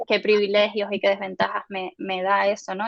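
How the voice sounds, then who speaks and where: The speaker moves at a moderate pace. The intonation stays monotone and flat. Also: woman. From Spain. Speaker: UX designer and researcher. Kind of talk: guest lecture. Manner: hesitant, many fillers.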